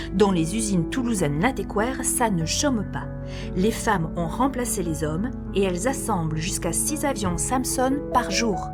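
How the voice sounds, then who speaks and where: A woman talks fairly slowly with music playing behind her. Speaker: voice-over artist. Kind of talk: documentary history narration. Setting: studio.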